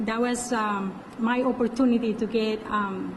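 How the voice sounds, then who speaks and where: A woman with a strong non-native accent and a fairly high pitch speaks in a monotone, flat intonation, with noticeable background noise and audible room echo. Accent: heavy foreign. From Colombia. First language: Spanish. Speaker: parole officer. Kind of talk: interview. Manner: halting.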